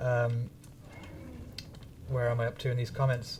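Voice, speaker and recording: A man is speaking. His voice is somewhat breathy. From northern England, Manchester area. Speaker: gaming streamer. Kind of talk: live stream chat. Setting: live stream. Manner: casual, halting with fillers.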